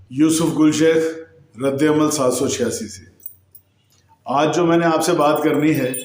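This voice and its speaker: A fairly high-pitched man with big swings in loudness and long, frequent pauses, plus audible room echo. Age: 50s. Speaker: YouTube news commentator. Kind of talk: news commentary monologue.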